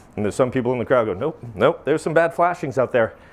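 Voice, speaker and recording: This is a man speaking. He has a Maine accent. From Maine, US. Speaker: flashing manufacturer president, presenter. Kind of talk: technical presentation. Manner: animated.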